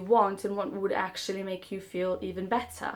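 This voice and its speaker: She speaks with a non-native accent. The speaker is a woman. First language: not English. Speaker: self-help vlogger. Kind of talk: casual monologue to camera. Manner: halting.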